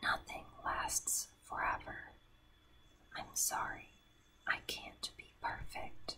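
Her words come at a very slow pace, whispered by a woman. Long pauses break in often. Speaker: ASMR creator. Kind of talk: ASMR whispered reading of song lyrics. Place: home room. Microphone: studio mic.

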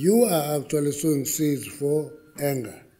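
A man's dark, mellow tone at a moderate pace, with ordinary pitch variation and a quiet background. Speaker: government minister addressing a forum. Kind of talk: speech. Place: hall. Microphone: podium.

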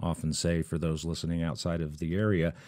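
Against a quiet background, a man speaks at a fairly quick pace with a very deep, low pitch. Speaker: podcast host. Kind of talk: podcast intro commentary. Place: studio.

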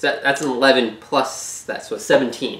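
A man at medium pitch with a bright, sharp tone, moderate pace, ordinary pitch variation and audible room echo

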